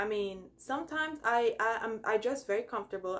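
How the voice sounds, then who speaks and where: A woman with a Jamaican accent speaks at a medium pitch, her intonation lively. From Jamaica, Saint Elizabeth. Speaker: YouTuber, college student. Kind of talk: casual vlog talk. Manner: animated.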